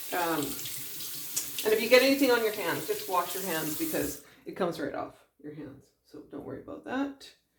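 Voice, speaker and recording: A woman is speaking. Her delivery has long, frequent pauses. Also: big swings in loudness. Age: 60s. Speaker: beauty vlogger. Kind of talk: tutorial. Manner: casual, halting.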